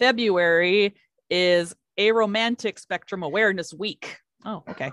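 A woman has a normal speaking voice at medium pitch. She talks at a fairly slow pace with ordinary pitch variation. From Kentucky, US. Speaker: podcast co-host. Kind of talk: casual chat.

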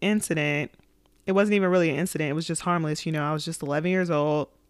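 A woman speaks with fairly low pitch and fairly even intonation. The recording is very clean, its background silent. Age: 20s. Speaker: podcast host. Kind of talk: personal testimony. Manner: halting.

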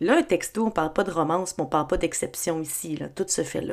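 With a Quebec accent, a woman speaks in lively intonation. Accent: Québécois French. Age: 30s. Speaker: podcast host. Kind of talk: solo podcast monologue.

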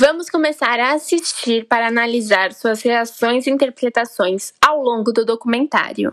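With a Brazilian accent, a woman speaks at a high pitch with hardly any pauses. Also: ordinary pitch variation, moderate pace. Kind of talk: scripted narration.

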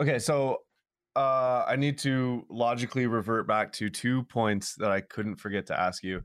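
Speaking at a moderate pace, a man with medium pitch and ordinary pitch variation has an unremarkable speaking voice. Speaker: podcast co-host. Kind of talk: casual podcast chat.

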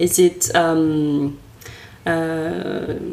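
A woman with a French accent and a fairly low pitch. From France. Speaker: podcast host. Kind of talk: casual interview conversation.

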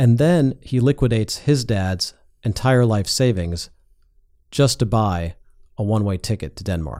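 In a plain, everyday voice, a man with an American accent speaks at medium pitch and a moderate pace with lively intonation, on a very clean recording with a silent background. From US Midwest (North Shore of Chicago). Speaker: tech investor and entrepreneur. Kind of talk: casual interview. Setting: studio.

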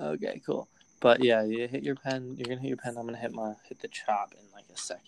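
A man talks at a very fast pace in a medium pitch, with ordinary pitch variation and big swings in loudness. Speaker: podcast host. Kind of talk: casual banter. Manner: casual, slangy.

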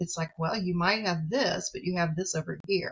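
A woman's somewhat breathy, fairly low-pitched voice with an American accent. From US Midwest, rural farm community. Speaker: psychologist and professor. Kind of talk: interview conversation.

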